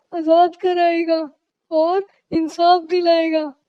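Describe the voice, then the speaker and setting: A cartoonish character voice that sounds female speaks fairly slowly at an extremely high pitch. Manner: mournful.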